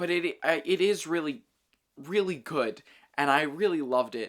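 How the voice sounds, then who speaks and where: On a very clean recording with a silent background, a man speaks in a plain, everyday voice at a fairly high pitch and a moderate pace, with lively intonation. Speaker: film reviewer. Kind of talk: casual monologue review. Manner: rambling, unscripted with many fillers.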